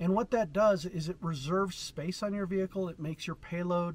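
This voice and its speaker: A man's high-pitched voice with ordinary pitch variation, in dry sound with no echo. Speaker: overlanding vlogger. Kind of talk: tutorial. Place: open country.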